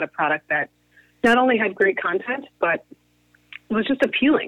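A woman speaks at a moderate pace with lively intonation. It is a normal speaking voice. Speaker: media company co-founder. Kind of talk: interview.

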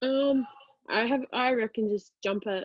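The woman speaks in an Australian accent with fairly even intonation. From Australia, Brisbane. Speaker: college rugby player. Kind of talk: casual interview.

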